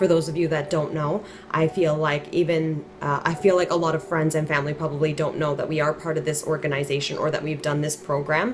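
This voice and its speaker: A woman talks at a fairly quick pace with hardly any pauses, her pitch very deep and low. Her intonation is fairly even, with noticeable background noise behind her. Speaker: wellness vlogger. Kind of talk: casual monologue. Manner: informal, conversational.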